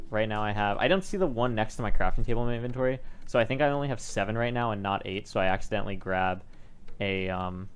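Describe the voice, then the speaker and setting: The speech runs at a very fast pace with ordinary pitch variation and audible room echo. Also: man, fairly low pitch for a man. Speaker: Minecraft speedrunner. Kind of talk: video commentary.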